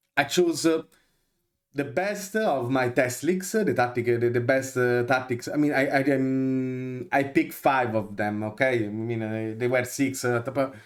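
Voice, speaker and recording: A man speaks at a moderate pace with an Italian accent. His pitch varies in an ordinary way. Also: medium pitch for a man. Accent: Italian accent, noticeable. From Italy. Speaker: video game content creator. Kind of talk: tutorial. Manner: halting, many fillers.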